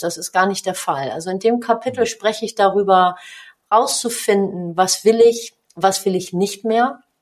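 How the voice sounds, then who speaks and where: At a fairly slow pace, a woman talks at a medium pitch with ordinary pitch variation. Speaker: business coach and author, former handball player. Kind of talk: podcast interview.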